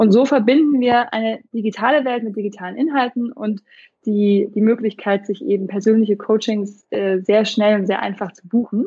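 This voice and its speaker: Somewhat breathy and fairly high-pitched, a woman speaks at a moderate pace with ordinary pitch variation and big swings in loudness. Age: 30s. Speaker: startup founder, parenting coach. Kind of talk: interview.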